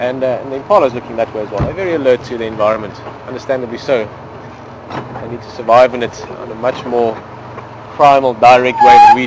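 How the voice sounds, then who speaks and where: Over noticeable background noise, a man with a medium pitch talks very fast with lively intonation. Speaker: safari guide. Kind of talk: live commentary. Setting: outdoors.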